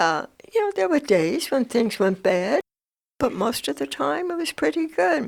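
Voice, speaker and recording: In a very clean recording with a silent background, a woman at a moderate pace uses a fairly high pitch with very wide swings and vocal fry. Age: 80s+. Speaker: retired schoolteacher. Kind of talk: oral history interview.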